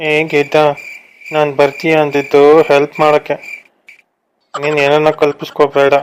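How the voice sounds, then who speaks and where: A man's soft-spoken, sing-song, put-on character voice, fairly high in pitch, at a fairly slow pace. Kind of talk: comic cartoon voice acting. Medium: cartoon. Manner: soft, polite, sing-song.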